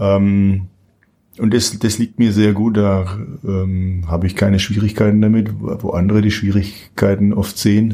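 The tone is dark and mellow, delivered in a flat monotone at a fairly slow pace. The recording is very clean with a silent background. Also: man, fairly low pitch for a man. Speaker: opera singer. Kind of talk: interview.

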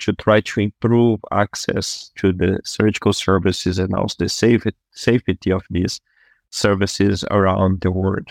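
With a Brazilian accent, a man talks at a fairly slow pace in a fairly low voice, the recording very clean with a silent background and a dry, close sound with no echo. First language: Portuguese. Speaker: surgeon. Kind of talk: interview conversation.

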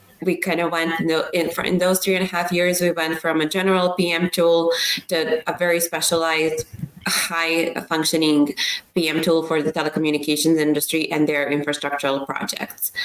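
A moderately paced voice in a Serbian accent, monotone and flat in intonation, with very even loudness and noticeable background noise. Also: woman, fairly low pitch for a woman. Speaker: startup founder. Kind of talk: interview.

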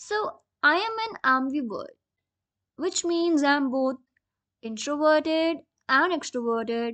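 At a fairly slow pace, a woman with a high, bright, sharp voice speaks with lively intonation. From India, Rajasthan. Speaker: journalism student. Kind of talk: self-introduction.

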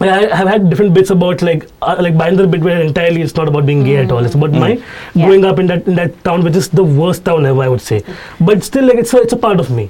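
The speaker has a Mumbai accent and an animated tone at a very fast pace, with ordinary pitch variation. Noticeable background noise is present. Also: man. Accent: Indian English, Mumbai. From Mumbai, India. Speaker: stand-up comedian. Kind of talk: casual chat, interview. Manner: fast talker, animated; candid, ranting, profane.

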